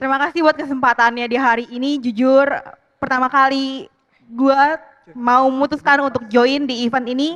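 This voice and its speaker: A woman talks at a high pitch and a moderate pace. Her intonation stays fairly even. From Jakarta. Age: 20s. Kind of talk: personal storytelling to live audience. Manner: casual, conversational.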